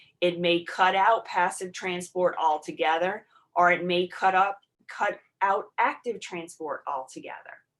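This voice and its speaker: In an unremarkable speaking voice, a woman talks at a medium pitch. She keeps a fairly slow pace with fairly even intonation. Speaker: college nursing instructor. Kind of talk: online lecture. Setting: video call.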